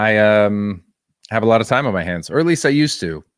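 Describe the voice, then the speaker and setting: Over a very clean recording with a silent background, a man with medium pitch and lively intonation speaks in an ordinary speaking voice. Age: 30s. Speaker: streamer. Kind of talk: casual chat.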